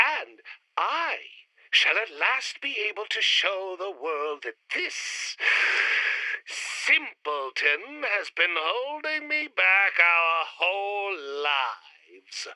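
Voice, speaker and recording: In a put-on character voice at a middle pitch, the speaker talks at a very slow pace with very wide pitch swings. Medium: audio drama. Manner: haughty, argumentative.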